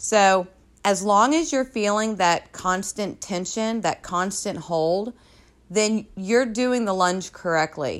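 A woman speaks with a plain, everyday voice at a medium pitch and ordinary pitch variation. The recording is very clean, with a silent background. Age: 30s. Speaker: personal trainer. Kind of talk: solo podcast tutorial.

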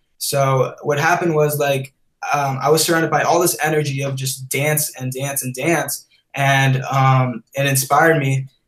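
This man talks at a moderate pace with a fairly high pitch and a monotone, flat intonation. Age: 20s. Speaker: creative director and content creator. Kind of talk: casual interview.

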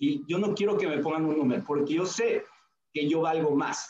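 Here is a man with a normal speaking voice and a fairly high pitch. His intonation is lively and his pace moderate. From Mexico, Hidalgo (Tulancingo). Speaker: network marketing leader. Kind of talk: interview. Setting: video call.

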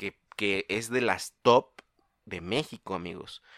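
On a very clean recording with a silent background and a dry, close sound with no echo, a man speaks very slowly in a bright, sharp tone with ordinary pitch variation. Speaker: podcast co-host. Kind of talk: casual chat.

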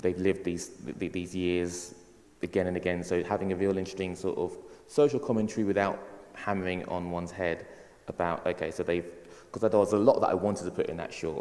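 This man talks at a very fast pace in a very deep, low voice, keeping his intonation fairly even. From England, Ghanaian heritage. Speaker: filmmaker. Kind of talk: panel discussion.

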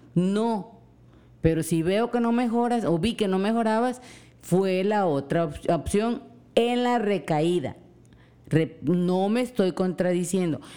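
In a coastal Mexican accent, a woman speaks at a very slow pace, her dark, mellow tone held at very even loudness. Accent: coastal Mexican, drops S. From Mexican coast. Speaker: host's mother. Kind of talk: casual chat.

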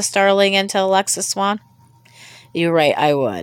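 A woman with an American accent and a medium pitch speaks at a moderate pace with ordinary pitch variation. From US. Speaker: podcast host. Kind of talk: solo monologue. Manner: halting.

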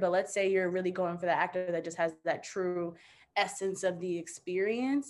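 Using a normal speaking voice, a woman speaks at a moderate pace in a medium pitch. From US, child of Sierra Leonean immigrants. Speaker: university student. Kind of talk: panel discussion.

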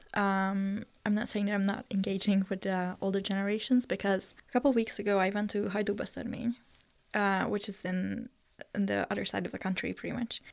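A woman with a Hungarian accent talks at a fairly quick pace in a medium pitch, on a very clean recording with a silent background. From northern Hungary (Eger). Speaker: youth delegate to the UN. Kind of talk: interview.

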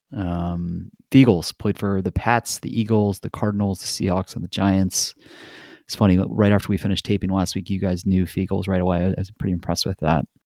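In an American accent, a man talks at a fairly quick pace with a very deep, low pitch, a dark, mellow tone and fairly even intonation. The recording is very clean with a silent background, and the sound is dry and close with no echo. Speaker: podcast co-host, football bettor. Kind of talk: casual sports betting chat. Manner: casual, filler-heavy.

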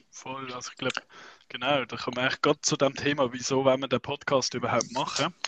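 Very fast and at a medium pitch, a man speaks with fairly even intonation but big swings in loudness. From Switzerland, Basel region. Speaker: unihockey youth coach, podcast co-host. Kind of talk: casual chat.

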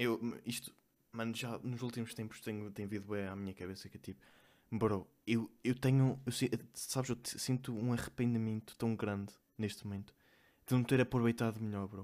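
A man at medium pitch talks at a moderate pace in a monotone, flat intonation, broken by long, frequent pauses. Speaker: podcast co-host. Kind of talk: casual chat.

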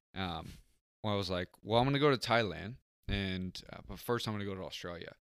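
With an American accent, a man uses a plain, everyday voice, fairly low in pitch with ordinary pitch variation and big swings in loudness, on a very clean recording with a silent background. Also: fairly quick pace. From San Diego area, California. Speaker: podcast guest. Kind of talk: casual chat.

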